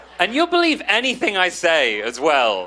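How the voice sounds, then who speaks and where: A man speaks in a raised, projected voice with a British accent. Noticeable background noise sits behind him. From England. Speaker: stand-up comedian. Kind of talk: stand-up.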